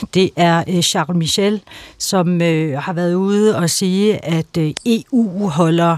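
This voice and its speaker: Here a woman speaks at a very slow pace and a fairly low pitch with ordinary pitch variation. The sound is dry and close, with no echo. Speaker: international affairs analyst. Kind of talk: radio debate.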